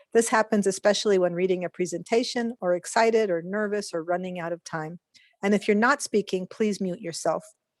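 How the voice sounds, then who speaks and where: At a fairly quick pace and medium pitch, a woman speaks with ordinary pitch variation in a dry, close sound with no echo. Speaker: interpreter. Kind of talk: bilingual announcement. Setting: video call. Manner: fast.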